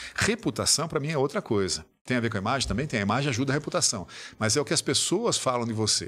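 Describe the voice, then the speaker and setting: A man talks very fast at medium pitch, his pitch swinging very widely. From Brazil. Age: 60s. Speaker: business executive and author. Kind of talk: podcast interview.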